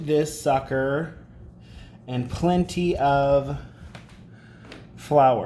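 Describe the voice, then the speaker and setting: A man's fairly high voice, ordinary pitch variation, light background noise. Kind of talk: casual cooking talk to camera. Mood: relaxed, casual. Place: kitchen. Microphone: phone near.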